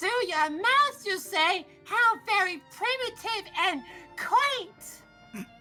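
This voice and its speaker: Over clear music in the background, a put-on character voice at an extremely high pitch speaks at a very slow pace. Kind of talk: formal, archaic. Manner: silly, haughty, old-fashioned.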